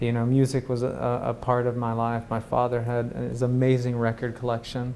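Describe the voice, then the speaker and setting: Against noticeable background noise, a man with a medium pitch speaks at a fairly quick pace in a monotone, flat intonation. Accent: American. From US South, Chattanooga, Tennessee. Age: 30s. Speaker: new media artist. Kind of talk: interview. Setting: TV talk show.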